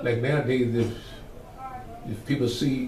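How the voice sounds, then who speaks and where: A man's medium-pitched voice in an American accent, with audible room echo and noticeable background noise. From Virginia, US South. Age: 70s. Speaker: church elder, oral history interviewee. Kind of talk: oral history interview. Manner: conversational, with fillers.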